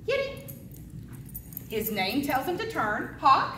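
With audible room echo, a woman speaks slowly at a high pitch, her bright, sharp tone rising and falling in very wide pitch swings.

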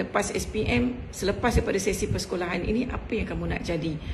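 A woman talks at a very fast pace with very wide pitch swings over light background noise. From Malaysia. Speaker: school principal. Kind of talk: welcome speech. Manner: formal. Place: home room. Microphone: video call.

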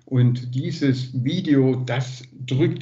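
A man is speaking here. His voice is somewhat breathy, with fairly even intonation. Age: 60s. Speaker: liaison for Italian twin town; guest. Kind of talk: casual report. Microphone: video call.

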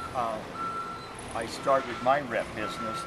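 Loud background noise fills the recording. Pitch varies in an ordinary way. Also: man. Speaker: product representative trainer. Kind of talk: lecture. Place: workshop. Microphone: phone near.

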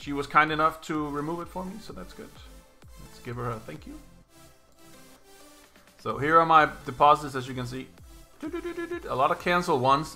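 A man is speaking. Faint music plays in the background. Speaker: slots streamer. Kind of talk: casual livestream commentary. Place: home room.

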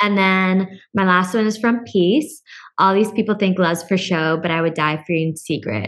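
Against a quiet background, a woman speaks at a moderate pace with ordinary pitch variation and very even loudness. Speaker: podcast co-host. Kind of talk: casual chat. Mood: warm, cheerful. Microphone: studio mic.

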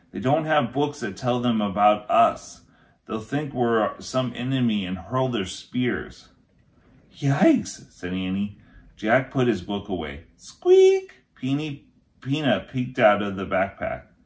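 A man's voice rises and falls in an ordinary way as he talks fairly slowly. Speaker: teacher reading aloud. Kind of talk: story read-aloud. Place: home room. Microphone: phone near.

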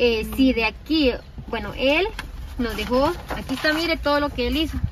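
Noticeable background noise beneath a woman's dry voice with no echo. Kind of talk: casual explanation to camera. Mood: earnest, explanatory. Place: car. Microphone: phone near.

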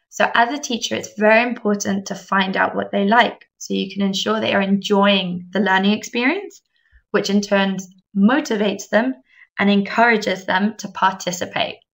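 A woman with an English accent, medium in pitch, at a moderate pace with ordinary pitch variation. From England. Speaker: English teacher trainer. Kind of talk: webinar presentation. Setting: online webinar.

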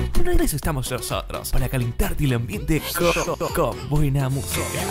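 A man's moderately paced speech is heard with music in the background. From Paraguay. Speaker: radio voice-over announcer. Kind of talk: radio station imaging promo.

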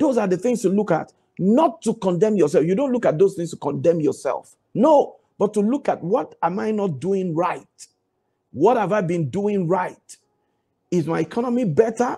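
A man's voice comes through at a moderate pace with a quiet background behind it. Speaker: preacher. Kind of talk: devotional Bible teaching with fervent prayer. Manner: emphatic, exhorting, repeats commands; fervent, declaring prayer. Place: home room. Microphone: lapel.

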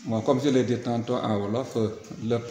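A man speaks with fairly even intonation. Light background noise and an audible room echo are present. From Senegal. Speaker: school inspector. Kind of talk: interview statement. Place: classroom.

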